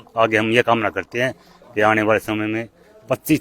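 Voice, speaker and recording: An unremarkable speaking voice from a man, fairly low in pitch, with fairly even intonation and a dry, close sound with no echo. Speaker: farmer. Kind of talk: street interview.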